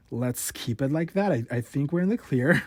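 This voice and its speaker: Somewhat breathy and fairly high-pitched, a man speaks with lively intonation on a very clean recording with a silent background. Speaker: podcast host. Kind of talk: casual podcast talk. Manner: stutters.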